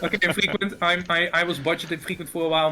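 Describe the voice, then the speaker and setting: A man with a Dutch accent, fairly high in pitch and very fast, over noticeable background noise. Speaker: esports caster. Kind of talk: casual chat.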